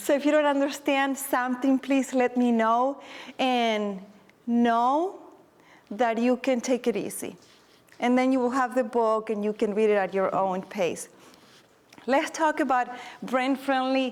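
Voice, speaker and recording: A woman with a non-native accent speaks in a high pitch and a warm tone. Her loudness stays very even, with long, frequent pauses. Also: ordinary pitch variation. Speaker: teacher and presenter. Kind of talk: conference workshop presentation. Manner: moderately paced, deliberately not too fast; warm, encouraging.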